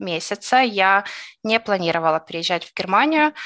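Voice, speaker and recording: A woman speaks with lively intonation and a bright, sharp tone. The sound is dry and close with no echo, over a quiet background. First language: Russian (speaking German). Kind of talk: interview testimony.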